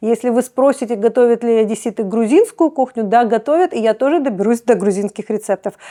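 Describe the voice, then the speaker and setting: Speaking at a fairly quick pace with hardly any pauses, a woman has a dark, mellow tone, ordinary pitch variation and very even loudness, in a dry, close sound with no echo. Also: fairly high pitch for a woman. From Odesa, Ukraine. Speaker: cooking blogger. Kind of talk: casual talk to camera.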